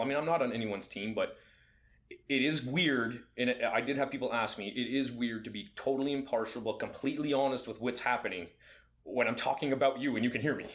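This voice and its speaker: Ordinary pitch variation marks the speech. It moves along at a very fast pace. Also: man. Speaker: fight commentator and podcast co-host. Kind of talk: casual chat. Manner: loud.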